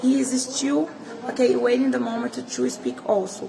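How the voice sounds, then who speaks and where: A woman talks with a high pitch in a Brazilian Portuguese accent. Background noise is noticeable. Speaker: political commentator. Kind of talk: political commentary vlog. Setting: inside the Senate. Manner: halting.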